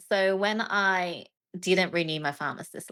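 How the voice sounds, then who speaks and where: A woman speaks with an Australian accent. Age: 40s. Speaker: trading mentor and author. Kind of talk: interview. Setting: video call.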